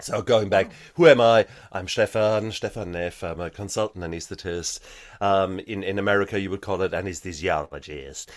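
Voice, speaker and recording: A man with a German accent, at a moderate pace, with ordinary pitch variation and big swings in loudness, in a very clean recording against a silent background. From Germany. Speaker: anesthetist and author. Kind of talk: interview.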